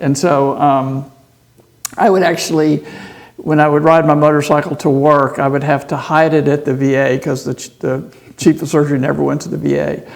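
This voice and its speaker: Over noticeable background noise, someone with an American accent speaks at a fairly quick pace in a monotone, flat intonation. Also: man, fairly high pitch for a man. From Texas, Houston. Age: 60s. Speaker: surgeon and motorcycle racer. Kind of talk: podcast interview. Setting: racetrack.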